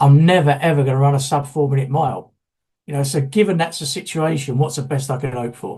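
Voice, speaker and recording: A man with a fairly high pitch and a dark, mellow tone speaks at a moderate pace, his somewhat breathy voice showing ordinary pitch variation. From London, England. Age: 60s. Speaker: solution-focused therapist. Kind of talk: conference workshop talk. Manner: halting, many repeated words.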